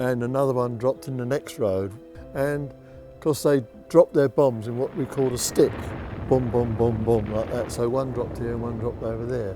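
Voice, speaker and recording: Over background music, a man speaks at a medium pitch and moderate pace with fairly even intonation and big swings in loudness. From East End of London. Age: 80s+. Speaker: war survivor. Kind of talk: interview answer.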